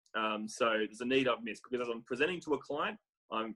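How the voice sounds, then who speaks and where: A man with an Australian accent talks at a very fast pace, the sound dry and close with no echo. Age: 30s. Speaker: real estate business development manager. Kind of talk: interview.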